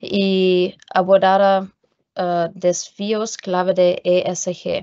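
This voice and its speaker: A woman with a non-native accent against a quiet background. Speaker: company presenter; presenter. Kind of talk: webinar presentation. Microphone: video call.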